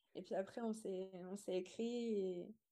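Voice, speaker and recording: With fairly even intonation, the woman's voice carries a dark, mellow tone. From rural France (Montbrison, Loire). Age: 20s. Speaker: pastry entrepreneur. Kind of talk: podcast interview.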